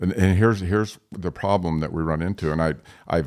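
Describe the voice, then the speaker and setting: Over a silent background in a very clean recording, a man with vocal fry speaks at a fairly quick pace with ordinary pitch variation. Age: 60s. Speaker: forest landowner. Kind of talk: interview.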